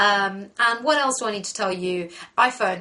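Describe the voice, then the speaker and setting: Over noticeable background noise, a woman speaks with medium pitch. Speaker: makeup tutorial host. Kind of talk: tutorial. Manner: fast.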